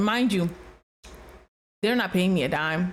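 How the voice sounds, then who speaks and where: A woman at medium pitch with a slight Nigerian accent, talking at a fairly quick pace. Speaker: realtor, reaction video host. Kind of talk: reaction commentary. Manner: casual, conversational with hesitations.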